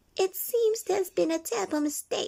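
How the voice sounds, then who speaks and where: A woman puts on a squeaky character voice with an extremely high pitch and lively intonation. She speaks at a moderate pace. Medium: read story.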